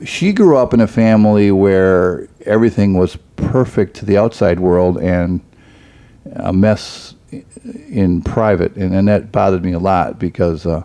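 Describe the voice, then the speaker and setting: In an ordinary speaking voice, a man talks at a fairly low pitch and a fairly slow pace with fairly even intonation. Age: 60s. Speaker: pastor. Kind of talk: casual chat.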